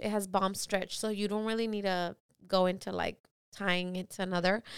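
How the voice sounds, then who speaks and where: A loud, bright, sharp woman's voice at a fairly high pitch, in a very clean recording with a silent background. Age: 20s. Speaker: event stylist and balloon artist instructor. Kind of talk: casual chat.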